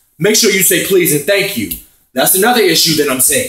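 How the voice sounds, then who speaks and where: A man's high-pitched voice is raised and projected, with an animated tone and very wide pitch swings. Audible room echo surrounds him. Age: 30s. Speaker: vlogger. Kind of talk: opinion rant. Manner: loud.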